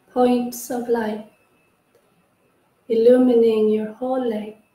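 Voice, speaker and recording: Somewhat breathy and fairly high-pitched, a woman speaks in a dark, mellow tone with monotone, flat intonation. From northern Sweden. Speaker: yoga teacher and therapist. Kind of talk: guided yoga nidra meditation. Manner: slow, soft-spoken.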